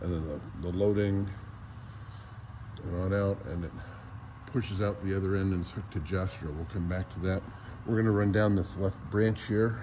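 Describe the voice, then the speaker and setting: With long, frequent pauses and audible room echo, a man talks in a fairly low, somewhat breathy voice with a dark, mellow tone. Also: fairly even intonation, moderate pace. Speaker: model railroad hobbyist. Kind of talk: casual walk-around video tour. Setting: hotel convention hall.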